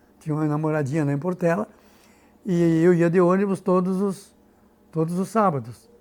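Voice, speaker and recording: A man's high-pitched voice at a moderate pace, with ordinary pitch variation and long, frequent pauses. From Rio Grande do Sul, Brazil. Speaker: local historian and author. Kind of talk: biographical interview.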